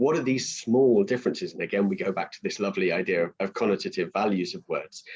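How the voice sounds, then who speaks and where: A man's fairly quick speech, with very wide pitch swings and vocal fry. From England, moved around. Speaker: teacher trainer and coursebook author. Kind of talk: webinar talk. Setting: online webinar.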